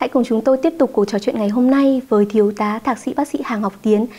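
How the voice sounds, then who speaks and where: A woman with a fairly high pitch talks at a very fast pace. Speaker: TV health show host. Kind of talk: TV presenting. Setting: studio. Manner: formal. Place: studio. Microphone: lapel.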